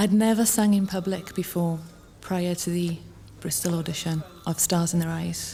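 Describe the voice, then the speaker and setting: A woman speaks at a fairly low pitch. Music plays in the background. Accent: Welsh. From south Wales, West Glamorgan. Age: 20s. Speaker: talent show contestant. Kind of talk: profile interview.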